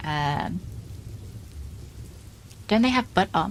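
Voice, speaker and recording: With very wide pitch swings, a woman talks at a moderate pace in a somewhat breathy voice. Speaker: history lecturer. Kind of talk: casual stream chat.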